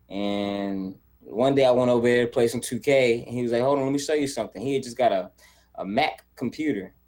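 A man with a normal speaking voice and an American accent, medium pitch, ordinary pitch variation and a fairly quick pace. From US South, Charlotte, North Carolina. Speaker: content creator and video editor. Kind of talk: casual interview chat.

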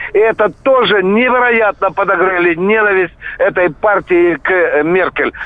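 Over noticeable background noise, a man speaks at a fairly slow pace and a high pitch. His loudness stays very even. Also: ordinary pitch variation. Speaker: caller, former serviceman. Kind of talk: phone call comment.

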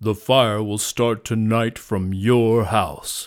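A man's put-on character voice at medium pitch, very slow, on a very clean recording with a silent background. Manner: ferocious, growling.

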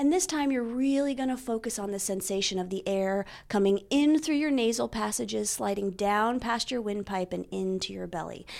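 Over a silent background in a very clean recording, a woman with an unremarkable speaking voice talks at a medium pitch with lively intonation and hardly any pauses. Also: moderate pace. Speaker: breathwork teacher and actor. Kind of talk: guided breathing meditation.

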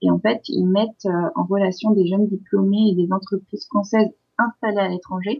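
This woman's voice is medium in pitch and somewhat breathy. She keeps a moderate pace with ordinary pitch variation. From France. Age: 30s. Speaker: expatriate in Turkey. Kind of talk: interview.

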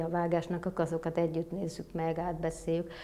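At a fairly quick pace, the speaker talks in a dark, mellow tone. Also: woman. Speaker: film producer. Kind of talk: interview. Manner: hesitant, many fillers.

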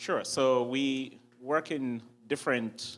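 The speaker is a man. He has a Ugandan accent. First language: Ugandan language. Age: young. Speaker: entrepreneur and impact investor. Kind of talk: interview on stage. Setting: church. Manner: hesitant with fillers.

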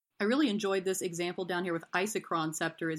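In an ordinary speaking voice, a woman with an American accent talks at a fairly low pitch with fairly even intonation against a quiet background. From US South, East Tennessee. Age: 30s. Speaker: game store manager. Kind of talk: casual rules discussion podcast.

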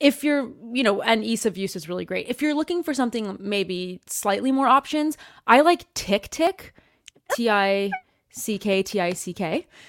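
In a Canadian accent, a woman talks at a moderate pace with an animated tone and very wide pitch swings at a fairly high pitch. The recording is very clean, with a silent background and a dry, close sound with no echo. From Canada. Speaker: YouTuber, productivity app reviewer. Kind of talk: casual interview chat. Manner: animated, laughs often.

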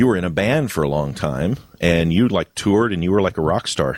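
A man speaks at a fairly quick pace in a very deep, low voice that swings very widely in pitch. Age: 50s. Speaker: podcast host. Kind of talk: casual chat. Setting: online voice call.

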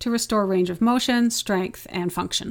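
An unremarkable speaking voice talks at a moderate pace with ordinary pitch variation. The recording is very clean, with a silent background. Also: woman. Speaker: physiotherapist. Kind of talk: casual interview, journal review.

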